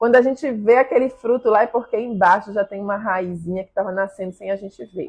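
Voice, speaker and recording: Speech comes at a fairly quick pace in a Brazilian accent, animated in tone, with ordinary pitch variation. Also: woman. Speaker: pastry chef teaching macaron making. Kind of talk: live stream class. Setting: live stream. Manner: loud.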